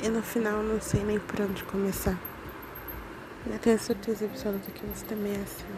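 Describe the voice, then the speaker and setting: Amid noticeable background noise, a woman speaks with monotone, flat intonation and long, frequent pauses. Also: medium pitch for a woman, fairly quick pace. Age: 20s. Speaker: amateur podcaster. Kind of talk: personal love message. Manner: giggly.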